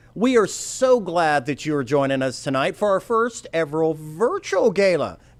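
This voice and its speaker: Moderate pace with hardly any pauses, very wide pitch swings, and noticeable background noise. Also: man, high pitch for a man. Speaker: auctioneer and fundraising emcee. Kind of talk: live event emcee hosting a charity gala.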